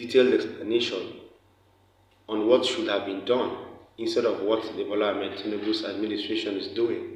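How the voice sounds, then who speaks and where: A man talks fairly quickly, with audible room echo and noticeable background noise around him. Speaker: news commentator. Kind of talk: news commentary.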